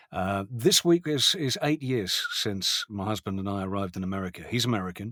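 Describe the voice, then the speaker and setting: A man with a British accent, fairly low in pitch, with ordinary pitch variation and a dry, close sound with no echo. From England, London. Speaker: voice actor, former radio broadcaster. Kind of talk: interview.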